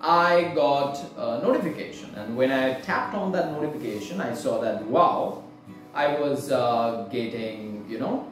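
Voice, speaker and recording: A man at a fairly slow pace, with audible room echo and clear music in the background. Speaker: book haul vlogger. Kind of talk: casual vlog chat.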